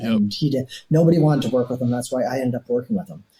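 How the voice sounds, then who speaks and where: A man's somewhat breathy, dark and mellow voice at medium pitch, with a Canadian accent. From Toronto, Canada. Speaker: retired police detective. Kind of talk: interview answer. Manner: casual, anecdotal.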